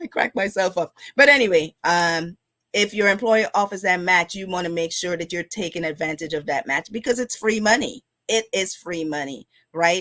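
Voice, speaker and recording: A woman with a Guyanese accent speaks at a moderate pace and medium pitch, her intonation lively and her tone bright and sharp. The recording is very clean with a silent background, and the sound is dry and close with no echo. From Guyana. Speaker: financial educator, live stream host. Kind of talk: live stream finance talk. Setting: live stream. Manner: casual, conversational with fillers.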